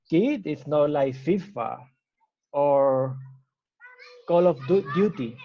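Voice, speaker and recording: This man speaks with a Spanish accent at a very slow pace, his pitch fairly high with ordinary variation. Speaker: startup founder. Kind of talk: interview. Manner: halting, with self-corrections.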